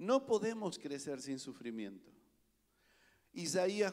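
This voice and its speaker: Heard on a very clean recording with a silent background, a man speaks in a high pitch. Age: 50s. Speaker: pastor. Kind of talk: sermon.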